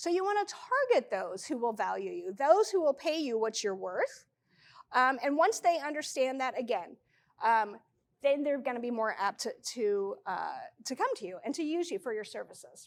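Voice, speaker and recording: A woman's high, animated voice with very wide pitch swings. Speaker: freelance business presenter. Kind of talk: presentation to a live audience. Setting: stage with audience. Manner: fast.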